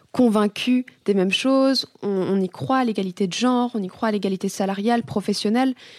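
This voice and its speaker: The voice is a plain, everyday voice, moving at a fairly quick pace with ordinary pitch variation. The sound is dry and close with no echo, in a very clean recording with a silent background. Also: woman, fairly high pitch for a woman. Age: 20s. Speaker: student. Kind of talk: interview questions. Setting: studio, office.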